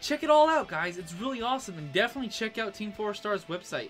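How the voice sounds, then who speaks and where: A man talks while faint music is heard behind him. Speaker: YouTube reaction creator. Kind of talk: casual vlog chat. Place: home room. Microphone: camera far.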